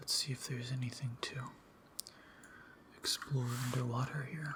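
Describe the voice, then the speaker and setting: The voice is soft-spoken with a relaxed tone, heard over noticeable background noise. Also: moderate pace. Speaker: ASMR gaming YouTuber. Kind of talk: casual gaming commentary to camera. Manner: soft-spoken, relaxed.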